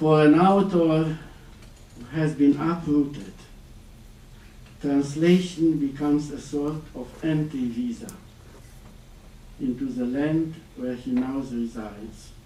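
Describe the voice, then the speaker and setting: Speaking very slowly with long, frequent pauses, a man with a fairly high voice and a non-native accent has a dark, mellow tone, big swings in loudness and ordinary pitch variation, with audible room echo. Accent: foreign. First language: Romanian. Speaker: exiled writer. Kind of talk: lecture.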